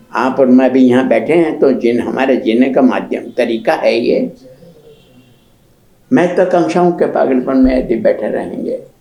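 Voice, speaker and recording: A man's voice with ordinary pitch variation over noticeable background noise. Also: medium pitch for a man. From Pratapgarh, Rajasthan, India. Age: 90s. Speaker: writer and literary scholar. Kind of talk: interview answer.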